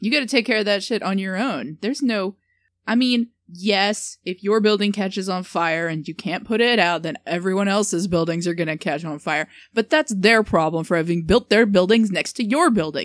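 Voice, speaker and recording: A woman speaks with an American accent in a plain, everyday voice, medium in pitch, with lively intonation at a moderate pace. The sound is dry and close with no echo, over a quiet background. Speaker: podcast co-host. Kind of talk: casual comedic chat.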